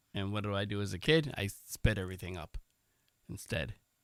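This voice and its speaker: The speaker is a man. His voice has a fairly low pitch. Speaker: podcast co-host and author. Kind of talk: casual chat. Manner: fast.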